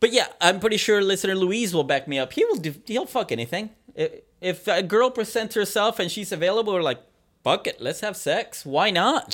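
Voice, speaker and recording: Lively intonation from a man, high in pitch, at a moderate pace. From Mexican heritage. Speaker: podcast co-host. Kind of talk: casual chat.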